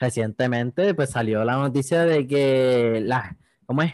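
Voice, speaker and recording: A man speaks with lively intonation in a medium pitch. The sound is dry and close, with no echo and a quiet background. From Puerto Rico, Yauco. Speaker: podcast host. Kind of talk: casual chat.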